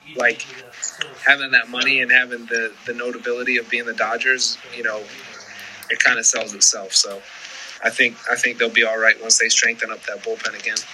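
Fairly quick speech from a man in an American accent, noticeable background noise behind him. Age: 30s. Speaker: professional baseball pitcher. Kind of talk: interview. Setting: video call.

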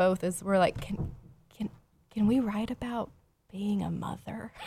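Someone with an American accent speaks in a normal speaking voice at a moderate pace. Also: woman. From Houston, Texas. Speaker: poet and pastor. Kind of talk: casual interview. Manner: laughs often.

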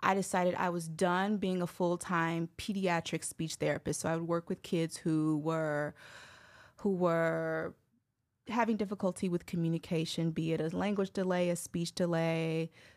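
A woman in an American accent with a normal speaking voice, fairly low pitch and a fairly slow pace, on a very clean recording with a silent background. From Chicago, US Midwest. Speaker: speech pathologist and communication coach. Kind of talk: casual interview.

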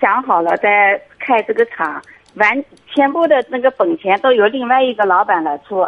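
A woman speaks in a normal speaking voice at a moderate pace. Her pitch is fairly high, with lively intonation. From Anhui, China. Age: 40s. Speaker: caller. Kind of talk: call-in advice conversation. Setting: phone call.

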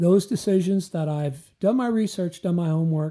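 At a moderate pace, a man speaks with a Midwestern US accent. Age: 60s. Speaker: retired financial advisor, co-host.

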